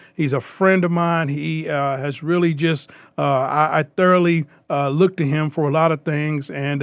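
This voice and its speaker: A man talks in a fairly high pitch with a Southern US accent and fairly even intonation. The recording is very clean, with a silent background. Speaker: radio show host. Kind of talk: radio interview. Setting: radio studio. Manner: fast.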